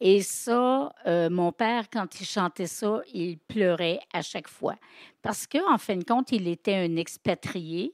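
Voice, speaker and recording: In a very clean, dry and close recording with no echo and a silent background, a woman talks at a very slow pace and medium pitch with ordinary pitch variation. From Quebec. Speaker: storyteller and writer. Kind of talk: interview. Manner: hesitant.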